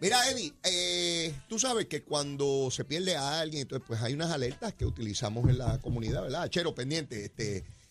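A man's fairly high voice with very wide pitch swings, at a moderate pace with hardly any pauses. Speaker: radio host. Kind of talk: casual chat. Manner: animated, conversational.

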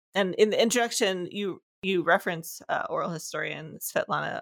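Pitched at a medium level, a woman's voice shows ordinary pitch variation. There is no echo, and the sound is dry and close. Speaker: podcast host. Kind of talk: interview. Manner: enthusiastic.

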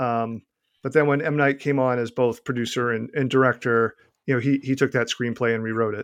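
Against a quiet background, a man with a Boston accent speaks at a fairly quick pace in a medium pitch with monotone, flat intonation. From Boston, US. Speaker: author.

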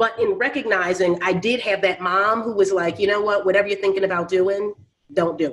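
With an American accent, a woman speaks at a fairly quick pace in an unremarkable speaking voice, her intonation fairly even but her loudness swinging widely. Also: medium pitch for a woman. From Philadelphia. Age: 40s. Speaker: real estate investor. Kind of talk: interview.

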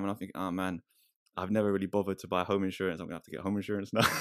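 A man speaks with a London accent. He goes at a very fast pace. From East London. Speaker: rapper and church worker. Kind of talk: casual chat.

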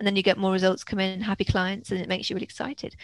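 A woman at medium pitch with an English accent, talking very fast, in a dry, close sound with no echo. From England (Worcestershire, Wales, London). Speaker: film festival consultant and author. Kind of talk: interview conversation.

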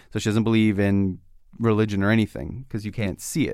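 A man's normal speaking voice, fairly low in pitch and fairly quick in pace, on a very clean recording with a silent background. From Canada. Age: young. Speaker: podcast host. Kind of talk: interview.

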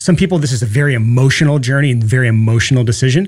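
Talking at a very fast pace, a man with a medium pitch sounds somewhat breathy and has ordinary pitch variation. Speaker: podcast host. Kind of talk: solo podcast episode. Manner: fast talker; animated, excitable.

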